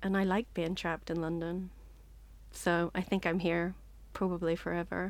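Over a very clean recording with a silent background, a woman with a Northern Irish accent speaks at a moderate pace in a fairly low, monotone, flat voice, with long, frequent pauses. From Northern Ireland. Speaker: short story writer. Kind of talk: interview.

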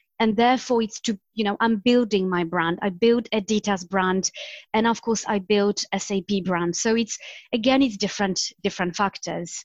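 Recorded with a dry, close sound with no echo and a quiet background, a woman with a Polish accent talks at a moderate pace and medium pitch, her intonation fairly even. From Poland. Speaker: marketing executive. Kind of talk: interview.

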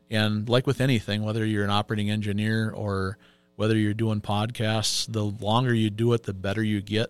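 A man with an Upper Midwest accent, fairly low-pitched and monotone, in a dry, close sound with no echo and a very clean recording with a silent background. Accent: Upper Midwest (Minnesota). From Minnesota, Pine City. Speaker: union business agent. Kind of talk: interview.

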